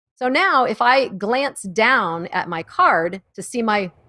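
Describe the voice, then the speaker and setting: A loud voice with a bright, sharp tone and lively intonation, in a dry, close sound with no echo. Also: woman. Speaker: live streaming production presenter. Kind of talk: casual instructional chat. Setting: live stream.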